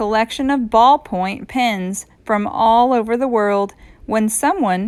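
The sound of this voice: An unforced reading voice moves through ordinary pitch variation.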